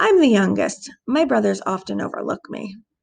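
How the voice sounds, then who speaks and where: A woman's raspy put-on character voice at a moderate pace. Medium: read story. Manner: formal, polite.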